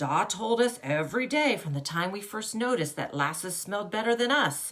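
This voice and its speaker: A put-on character voice rumbles along. The pace is fairly quick. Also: woman, medium pitch for a woman. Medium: read story. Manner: low, grumbling.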